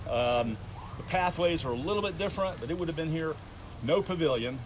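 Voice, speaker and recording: A man talks fairly quickly with ordinary pitch variation, while audible room echo and noticeable background noise surround him. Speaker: attraction owner giving a tour. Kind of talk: guided walking tour. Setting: outdoors, walking tour with a group. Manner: fast; halting, many fillers and repeats.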